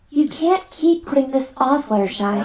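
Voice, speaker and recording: A female-sounding cartoonish character voice comes at a moderate pace and a high pitch. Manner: warm, reassuring.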